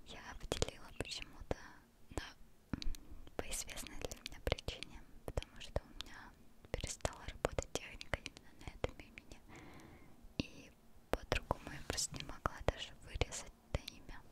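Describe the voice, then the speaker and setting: A soft-spoken woman is whispering at a moderate pace. She leaves long, frequent pauses. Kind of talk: soft ASMR name whispering and bedtime wishes. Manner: soft close-mic ASMR whisper. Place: home room. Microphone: studio mic.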